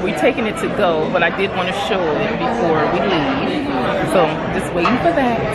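Crowd noise fills the background while a woman talks at a moderate pace. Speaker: restaurant vlogger. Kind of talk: casual vlog chat. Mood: cheerful, affectionate. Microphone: phone near.

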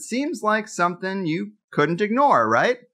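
A man speaks in a raised, projected voice at a moderate pace. His tone is bright and sharp, and his pitch is high. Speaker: podcast host. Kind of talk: podcast interview. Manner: casual.

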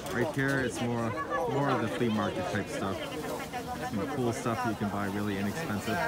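Over crowd noise in the background, a man talks at a fairly quick pace. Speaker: vlogger filming market. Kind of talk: casual vlog chat. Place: market. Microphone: phone near.

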